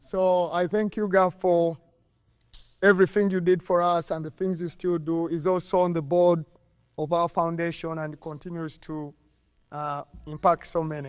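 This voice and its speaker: A high-pitched man with a Ugandan accent, monotone and flat, at a moderate pace with long, frequent pauses. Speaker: former college soccer player, hall of fame inductee. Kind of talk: acceptance speech. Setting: stage with audience at induction ceremony.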